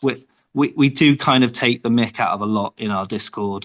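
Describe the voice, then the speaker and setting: A man speaks in a British accent. His pitch is medium and his pace moderate. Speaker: game developer. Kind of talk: interview.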